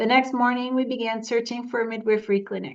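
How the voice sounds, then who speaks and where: There is little sound behind the speaker, a woman. The setting is quiet. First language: not English. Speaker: memoir author. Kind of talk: reading aloud.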